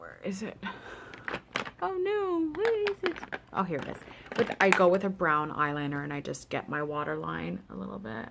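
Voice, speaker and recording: Over noticeable background noise, a woman with a Canadian accent speaks at a moderate pace, with big swings in loudness and long, frequent pauses. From Canada. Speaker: beauty vlogger. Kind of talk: tutorial. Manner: casual, hesitant with fillers.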